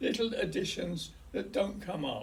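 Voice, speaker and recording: A man with a London accent, amid audible room echo. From west London, England. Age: 80s+. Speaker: hospice patient recording his life story. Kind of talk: oral history, personal memoir. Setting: hospice. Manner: halting.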